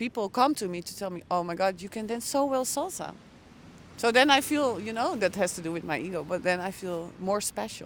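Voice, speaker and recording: With lively intonation, a woman speaks at a fairly quick pace and medium pitch. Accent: Dutch. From Netherlands, Hoofddorp near Amsterdam. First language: Dutch. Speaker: intercultural coach. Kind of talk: casual chat. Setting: outdoors.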